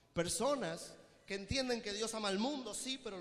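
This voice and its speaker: A man talks with a high pitch, an animated tone and lively intonation. There is audible room echo and noticeable background noise. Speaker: preacher and theologian. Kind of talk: sermon. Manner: fast.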